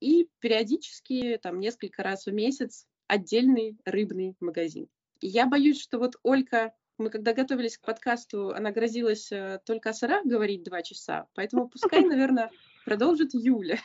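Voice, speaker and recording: A woman with an unremarkable speaking voice, a fairly high pitch, lively intonation and a moderate pace. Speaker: podcast host. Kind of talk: casual chat. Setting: remote call.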